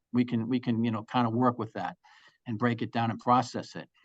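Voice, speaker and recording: Over a quiet background, a man talks at a very fast pace in a dry, close sound with no echo. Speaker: school representative. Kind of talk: presentation.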